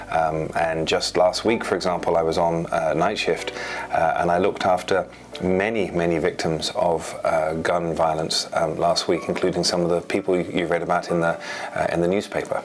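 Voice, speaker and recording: With an English accent, a man talks at a moderate pace in a very deep, low pitch, his intonation monotone and flat and his loudness very even, over noticeable background noise. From England. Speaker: trauma surgeon. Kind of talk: interview. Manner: hesitant, many fillers.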